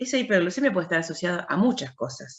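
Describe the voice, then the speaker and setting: Her pitch swings very widely. She is a woman with a fairly low voice. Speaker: university lecturer. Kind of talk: lecture. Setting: video call.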